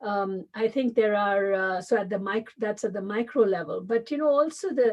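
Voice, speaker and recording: A woman speaks with a Tamil accent. Her voice sits at medium pitch, and her pace is moderate. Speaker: business school dean and professor. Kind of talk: interview. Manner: halting, many fillers.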